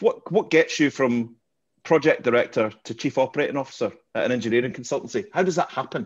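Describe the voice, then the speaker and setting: Against a quiet background, a man with a fairly high pitch speaks at a very fast pace with lively intonation. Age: 50s. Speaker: podcast host, interviewer. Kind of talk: casual chat, interview.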